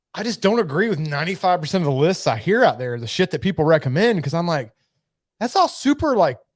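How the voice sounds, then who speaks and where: On a very clean recording with a silent background, a high-pitched man with an American accent talks at a very fast pace with very wide pitch swings. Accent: redneck twang, self-described. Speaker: whiskey and cigar channel host. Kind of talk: casual livestream chat. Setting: livestream, seated away from camera. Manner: casual, halting.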